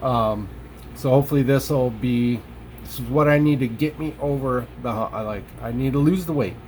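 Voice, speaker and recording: In a somewhat breathy voice of medium pitch, the man talks at a moderate pace and varies his pitch in an ordinary way. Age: 40s. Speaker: vlogger sharing weight-loss surgery experience. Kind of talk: casual vlog monologue. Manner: halting, many fillers and restarts.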